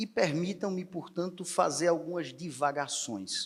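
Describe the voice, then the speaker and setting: Using ordinary pitch variation, a man speaks at a moderate pace. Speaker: federal attorney, panel speaker. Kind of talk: unscripted conference talk. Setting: conference hall with audience. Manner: improvised, some hesitations.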